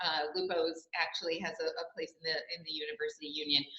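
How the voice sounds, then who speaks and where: At a fairly quick pace, a woman speaks. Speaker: local tourism representative. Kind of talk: presentation. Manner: fast.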